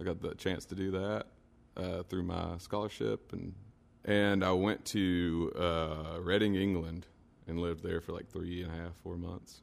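The speaker talks at a fairly slow pace in a Kentucky accent, keeping the intonation fairly even. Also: man, very deep, low pitch for a man. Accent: central Kentucky Southern US. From Kentucky (Stanford, central Kentucky). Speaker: singer-songwriter. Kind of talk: casual interview. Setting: radio studio.

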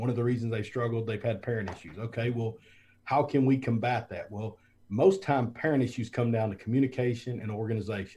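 Speaking at a fairly quick pace in a Southern US accent, a man has a dark, mellow tone that is somewhat breathy. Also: medium pitch for a man, ordinary pitch variation. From US South (South Alabama). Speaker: former football coach, school administrator. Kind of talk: interview. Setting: video call.

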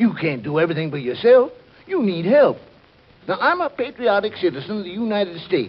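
A man puts on a character voice with a high pitch and a slightly husky edge. He moves at a fairly quick pace with big pitch swings.

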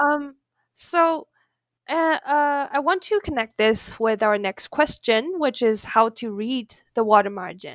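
A woman's high voice with a Chinese accent, very wide pitch swings and a fairly slow pace, dry and close with no echo, on a very clean recording with a silent background. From China. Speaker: podcast interviewer, academic. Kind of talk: academic interview. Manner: halting, many fillers.

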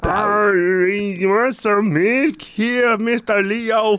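The speaker puts on a character voice pitched fairly high.

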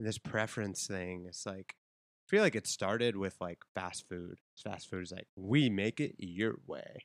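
An ordinary speaking voice from a man, fairly low in pitch, with ordinary pitch variation at a moderate pace. The sound is dry and close, with no echo. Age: 30s. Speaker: podcast host. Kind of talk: casual chat. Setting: home studio.

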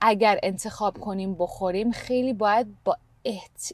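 On a very clean recording with a silent background, a woman can be heard talking. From Canada. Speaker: podcast co-host. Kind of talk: casual chat. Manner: halting, searching for Persian words.

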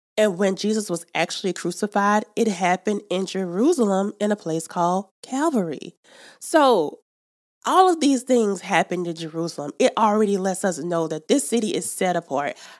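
Over a silent background, a woman speaks at a moderate pace with an American accent in a very clean recording. Her medium-pitched voice has an animated tone and lively intonation, dry and close with no echo. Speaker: podcast host. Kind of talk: Bible teaching. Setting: studio.

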